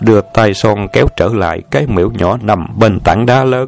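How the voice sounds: This natural reading voice rises and falls with ordinary pitch variation.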